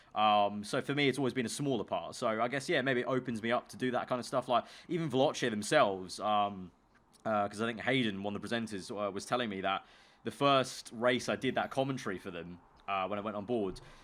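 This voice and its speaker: A man with a London accent talks at a very fast pace and a medium pitch with ordinary pitch variation, on a very clean recording with a silent background. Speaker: YouTuber and esports commentator. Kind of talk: casual chat.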